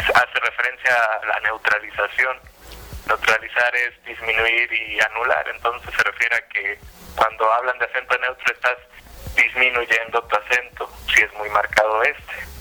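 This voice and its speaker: A man talks in an unremarkable speaking voice at a medium pitch. His pace is moderate and his intonation fairly even. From Puerto Vallarta area, Mexico. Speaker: YouTube content creator, dubbing enthusiast. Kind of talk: radio interview.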